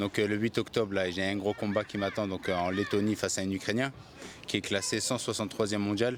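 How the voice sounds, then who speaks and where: A man's fairly low, monotone, flat voice at a fairly quick pace. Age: 20s. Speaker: professional boxer. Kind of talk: interview.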